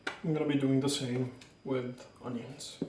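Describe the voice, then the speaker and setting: A fairly high-pitched male voice in a monotone, flat intonation, with noticeable background noise. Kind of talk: casual cooking tutorial talk.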